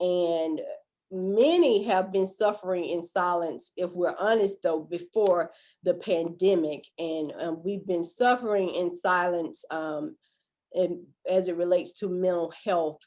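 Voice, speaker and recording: With a Southern US accent, a woman speaks at a fairly low pitch and with fairly even intonation. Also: fairly slow pace. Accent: Southern drawl. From US South, south Georgia (Valdosta). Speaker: life coach and former family therapist. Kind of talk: webinar talk. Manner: drawn-out words; halting, many fillers.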